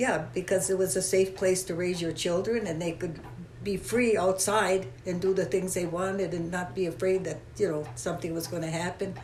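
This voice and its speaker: Speech comes at a moderate pace, with audible room echo and noticeable background noise. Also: woman, medium pitch for a woman, ordinary pitch variation. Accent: Upper Peninsula Michigan. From Michigan Upper Peninsula. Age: 90s. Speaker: longtime resident. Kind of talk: interview.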